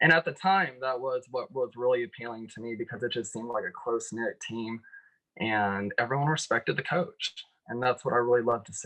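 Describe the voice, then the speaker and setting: A man's medium-pitched voice, bright and sharp in tone, at a fairly quick pace, with ordinary pitch variation and big swings in loudness. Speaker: former college swimmer. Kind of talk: interview.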